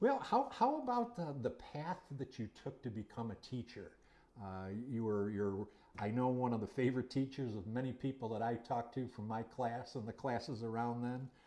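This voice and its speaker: A man speaks with an American accent. His medium-pitched voice has a dark, mellow tone. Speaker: history channel interviewer, former student. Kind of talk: interview. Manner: hesitant, many fillers.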